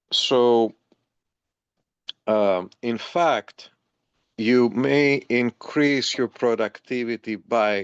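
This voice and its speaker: At a very slow pace, a man speaks with a dry, close sound that has no echo. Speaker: massage therapist. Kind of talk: interview.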